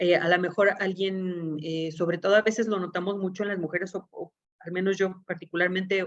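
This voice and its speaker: A woman speaks at medium pitch. Her intonation is fairly even. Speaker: legal expert in juvenile justice. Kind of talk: lecture. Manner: fast.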